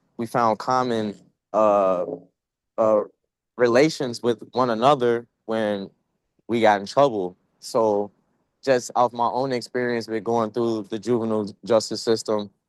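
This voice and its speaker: This man talks at a fairly slow pace with long, frequent pauses. His pitch is medium and his intonation fairly even. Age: 20s. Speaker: youth panelist with justice system experience. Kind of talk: panel discussion.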